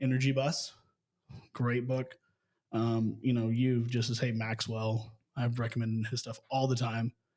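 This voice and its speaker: A man with a medium pitch speaks in a dark, mellow tone with monotone, flat intonation. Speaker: real estate business owner. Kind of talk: casual interview chat. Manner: fast.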